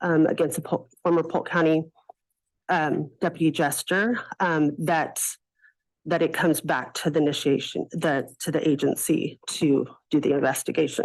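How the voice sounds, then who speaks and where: Over a quiet background, a woman with a very deep, low voice speaks at a moderate pace with very even loudness. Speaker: public commenter at county board meeting. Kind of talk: public comment at government meeting. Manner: hesitant, many fillers; soft-spoken.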